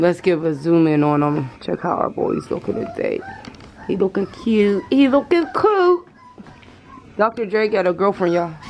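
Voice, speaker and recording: A woman at a moderate pace, with crowd noise in the background. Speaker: mother vlogger. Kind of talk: casual vlog chat. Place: home room.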